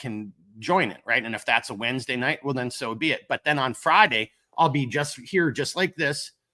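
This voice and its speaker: A man talks with a Minnesotan accent. He has a fairly high pitch and keeps a moderate pace. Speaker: gear company owner, livestream host. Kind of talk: casual live stream chat. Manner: casual, filler-heavy.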